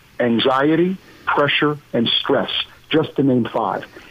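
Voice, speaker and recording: Here a man talks with lively intonation. His pitch is fairly high. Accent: American. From Pennsylvania, US. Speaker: business professor and former CEO. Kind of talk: interview. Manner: halting, many fillers.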